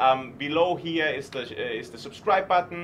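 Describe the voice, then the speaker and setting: With a German accent, a man speaks in a fairly high pitch. Noticeable background noise runs behind him. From Germany. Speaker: startup investor. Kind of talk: live stream interview. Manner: animated.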